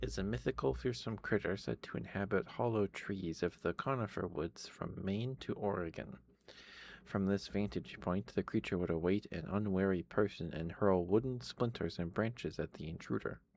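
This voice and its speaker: Soft-spoken, a man talks in a very deep, low pitch. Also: moderate pace. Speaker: ASMR streamer. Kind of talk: reading aloud. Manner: halting.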